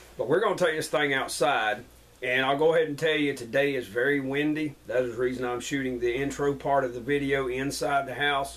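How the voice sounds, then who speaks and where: Over noticeable background noise, a man talks at a fairly high pitch and fairly quick pace with fairly even intonation. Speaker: outdoor gear reviewer. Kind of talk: casual product review. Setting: indoors at home. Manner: loud.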